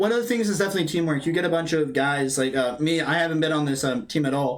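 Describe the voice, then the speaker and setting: Speech at a very fast pace, with very even loudness and ordinary pitch variation, is heard with audible room echo and noticeable background noise. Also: man, fairly high pitch for a man. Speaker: college esports player. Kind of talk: post-match interview.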